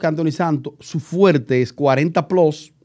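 A man talks at a high pitch against a quiet background. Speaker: YouTube show host. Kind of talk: casual talk show discussion. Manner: joking, chatty. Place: studio. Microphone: studio mic.

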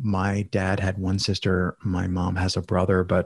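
Very deep and low, a man's somewhat breathy voice comes through on a very clean recording with a silent background. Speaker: podcast guest with many personal projects. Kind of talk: casual interview conversation.

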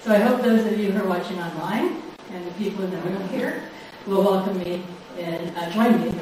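The woman speaks at a fairly quick pace in a medium pitch. Strong room echo and noticeable background noise surround her voice. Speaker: lecture series host. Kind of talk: formal introduction and Q&A moderation. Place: hall.

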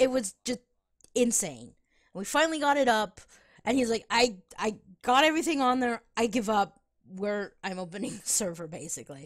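Her voice a normal speaking voice, a woman talks with lively intonation at a fairly high pitch and a moderate pace on a very clean recording with a silent background. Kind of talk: casual chat while gaming with friends.

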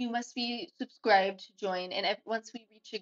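A woman at a moderate pace with ordinary pitch variation, music playing in the background. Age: 20s. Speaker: game streamer. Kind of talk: casual live stream chat. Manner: animated.

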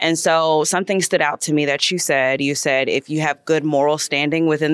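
A woman's very deep, low voice with an American accent, dry and close with no echo. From United States. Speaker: audience member. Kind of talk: audience question.

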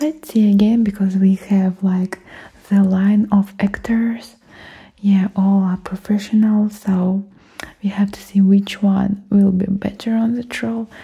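Soft-spoken and gentle in tone, a woman talks fairly slowly. Her intonation stays monotone and flat. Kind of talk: roleplay monologue to viewer. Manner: soft-spoken, gentle, close-mic voice. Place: home room. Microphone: studio mic.

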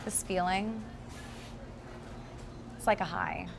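A woman does a put-on character voice at medium pitch with big pitch swings. Her pace is slow, with vocal fry.

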